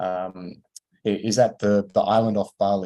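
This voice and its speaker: The background stays quiet. A dark, mellow tone marks the voice. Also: man. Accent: Australian. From Australia. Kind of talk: online lecture. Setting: video call. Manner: hesitant, many fillers.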